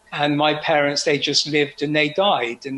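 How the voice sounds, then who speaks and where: A man with an English accent, fairly high in pitch, at a moderate pace over noticeable background noise. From England, Oxford. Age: 70s. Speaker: UFO experiencer. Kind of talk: personal testimony.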